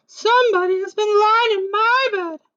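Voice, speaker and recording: The speaker uses a put-on character voice pitched extremely high. It sounds squeaky and keeps a moderate tempo. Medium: read story. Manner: prim, composed.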